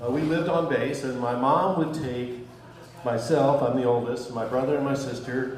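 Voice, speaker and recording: With noticeable background noise and audible room echo, the man's moderately paced speech shows ordinary pitch variation. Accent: American. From US, military family. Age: 60s. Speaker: stand-up comedian. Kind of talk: stand-up. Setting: stage with audience. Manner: halting.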